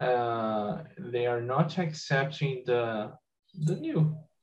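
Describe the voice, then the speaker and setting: A somewhat breathy man with a Brazilian Portuguese accent speaks at a medium pitch with ordinary pitch variation. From Brazil, Espírito Santo. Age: 20s. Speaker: software engineer. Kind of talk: group discussion.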